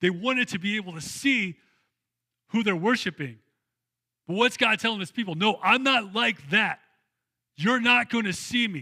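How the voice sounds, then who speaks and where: A raised, projected voice with a bright, sharp tone speaks at a moderate pace, with ordinary pitch variation and long, frequent pauses. The recording is very clean, with a silent background. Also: man, high pitch for a man. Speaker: pastor. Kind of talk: sermon. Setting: church. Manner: conversational, casual.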